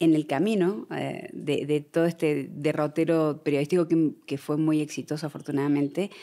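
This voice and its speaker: Her voice is very deep and low, with a dark, mellow tone, as the woman speaks in a monotone, flat intonation. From Argentina. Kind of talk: podcast interview.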